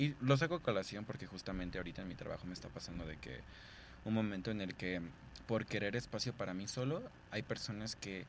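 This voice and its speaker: A man with a Mexican accent speaks with lively intonation. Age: 20s. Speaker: podcast host. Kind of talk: casual chat.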